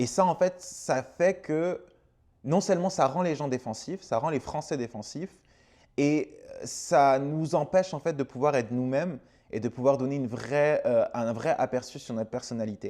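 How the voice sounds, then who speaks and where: A man speaks at a fairly slow pace with ordinary pitch variation. His tone is dark and mellow, and the background is quiet. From France. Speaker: content creator. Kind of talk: casual vlog monologue. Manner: hesitant, many fillers.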